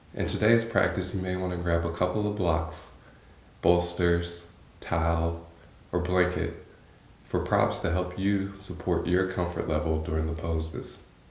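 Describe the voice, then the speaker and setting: Against noticeable background noise, a man with a very deep, low pitch speaks at a fairly slow pace with monotone, flat intonation. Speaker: yoga instructor. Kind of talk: guided yoga practice.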